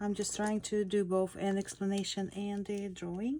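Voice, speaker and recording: A woman with a non-native accent speaks at a moderate pace and medium pitch in a very clean recording with a silent background. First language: not English. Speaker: sketch artist, art tutor. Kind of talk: tutorial demo. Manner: halting, many fillers.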